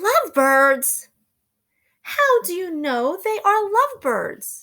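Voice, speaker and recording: Doing a put-on character voice, a woman squeaks at an extremely high pitch, swinging very widely in pitch at a very slow pace. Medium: read story. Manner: anxious, fretful.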